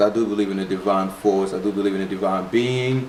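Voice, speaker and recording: A man's pitch rises and falls in an ordinary way, with noticeable background noise behind him. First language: not English. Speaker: spirituality vlogger. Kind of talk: casual video monologue. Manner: animated; halting with repetitions.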